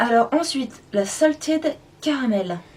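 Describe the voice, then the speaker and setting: There is noticeable background noise. Over it, a woman speaks with lively intonation. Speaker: beauty vlogger. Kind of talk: makeup product review and swatch demo. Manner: casual, hesitant with many fillers.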